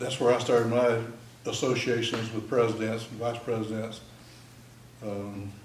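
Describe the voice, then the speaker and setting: A man with a Texan accent speaks at a medium pitch in a flat, monotone way, his loudness swinging widely, with long, frequent pauses and audible room echo. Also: moderate pace. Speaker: military veteran. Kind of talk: talk to an audience.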